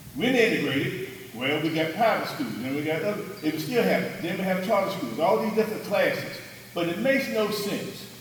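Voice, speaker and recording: Loud and fairly quick, a high-pitched man with a Southern US accent talks with lively intonation amid noticeable background noise and audible room echo. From North Carolina. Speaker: audience member. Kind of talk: audience comment. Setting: meeting with audience.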